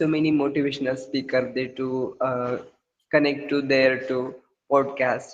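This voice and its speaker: At a fairly slow pace, a man with a Marathi accent speaks in a fairly high pitch with monotone, flat intonation. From India, Maharashtra. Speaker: school chemistry teacher, English learner. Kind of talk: casual conversation practice. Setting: online call. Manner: halting, many fillers.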